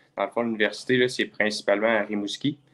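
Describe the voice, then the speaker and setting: Talking very fast in a monotone, flat intonation, a man with a fairly low pitch is heard over a quiet background. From Quebec (Lévis). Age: 20s. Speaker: kickboxer. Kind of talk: casual interview. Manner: hesitant, many fillers.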